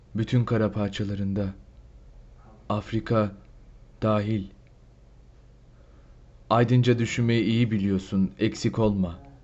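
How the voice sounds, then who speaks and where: Very slow pace from a man at a fairly low pitch, fairly even intonation, long and frequent pauses throughout. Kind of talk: poetry reading.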